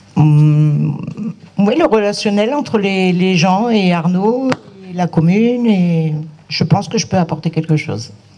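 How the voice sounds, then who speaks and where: Over noticeable background noise, a man speaks at a very slow pace. His voice is high, with ordinary pitch variation. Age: 50s. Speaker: municipal list candidate. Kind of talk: self-introduction at public meeting.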